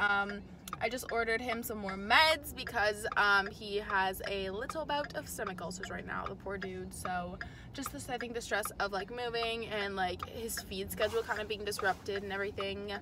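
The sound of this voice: Pitch moves in an ordinary way. The speech comes at a moderate pace. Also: woman, medium pitch for a woman.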